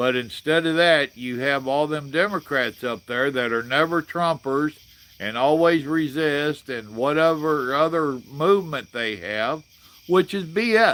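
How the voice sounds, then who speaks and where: A man with a Southern US accent, fairly high in pitch, at a fairly slow pace with ordinary pitch variation. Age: 60s. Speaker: livestream host. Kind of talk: casual chat. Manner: animated.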